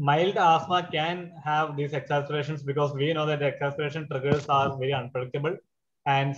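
A man speaks at a fairly quick pace. His voice is somewhat breathy. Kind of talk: lecture. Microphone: webcam.

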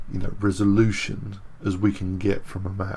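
Somewhat breathy, a man talks at a fairly low pitch with ordinary pitch variation. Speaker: 3D modelling tutor. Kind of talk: tutorial.

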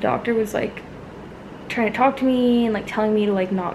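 Noticeable background noise runs behind a woman whose intonation is fairly even. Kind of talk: casual vlog chat. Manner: worn-out, drowsy post-labor voice. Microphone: phone near.

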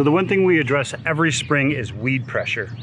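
A man speaks at a fairly quick pace with ordinary pitch variation. The sound is dry with no echo, over light background noise. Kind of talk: casual vlog tutorial. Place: garden.

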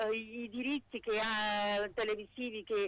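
A woman speaking at a fairly slow pace. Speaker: caller. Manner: animated.

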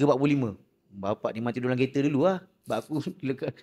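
This man speaks at a medium pitch. His pace is moderate. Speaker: podcast host. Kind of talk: casual chat.

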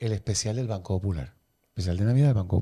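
The man has a fairly low, dark and mellow voice that is somewhat breathy. He talks at a fairly quick pace in a very clean recording with a silent background. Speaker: podcast host. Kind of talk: interview.

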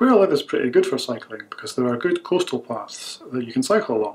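At a fairly quick pace, a man speaks with a Scottish accent. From Scotland. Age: 30s. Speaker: speaker in an English-practice video. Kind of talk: self-introduction for language learners.

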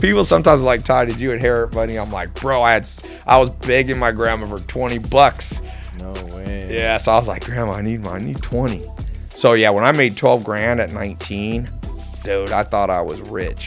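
A man's fairly quick speech with faint music in the background. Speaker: podcast guest. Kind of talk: interview answer. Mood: amused, storytelling. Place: studio. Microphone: studio mic.

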